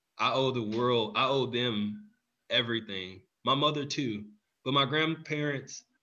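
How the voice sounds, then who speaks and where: A man with a normal speaking voice and an American accent, medium pitch, ordinary pitch variation, and a fairly slow pace. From Texas, Houston. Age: 30s. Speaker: nonprofit executive director, military veteran. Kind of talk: interview.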